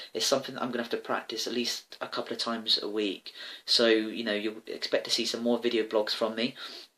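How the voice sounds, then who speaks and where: In a bright, sharp tone, a man speaks at a very fast pace with monotone, flat intonation. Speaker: personal trainer and vlogger. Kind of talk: casual video blog monologue. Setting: home, talking to a camera. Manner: loud; halting, many fillers.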